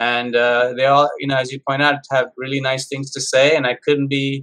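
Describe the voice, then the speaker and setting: This man has a fairly high pitch. His tone is bright and sharp. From India, Mumbai. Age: 50s. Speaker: chef and math professor. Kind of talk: interview.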